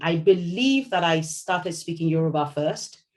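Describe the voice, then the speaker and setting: This woman's voice sits very deep and low in pitch. It sounds somewhat breathy. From Nigeria, Lagos. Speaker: novelist. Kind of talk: interview. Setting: video call.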